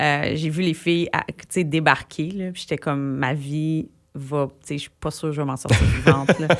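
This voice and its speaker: The speaker talks at a moderate pace. Their loudness swings widely from moment to moment. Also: woman, very deep, low pitch for a woman. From Quebec, Gatineau (Outaouais). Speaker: singer-songwriter. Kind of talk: radio interview. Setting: radio studio. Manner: animated, casual with many fillers.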